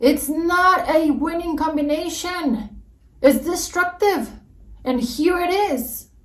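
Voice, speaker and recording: With an extremely high pitch and ordinary pitch variation, a woman speaks at a very slow pace amid audible room echo. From Mexico. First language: Spanish. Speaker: YouTuber. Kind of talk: reaction video rant. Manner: animated.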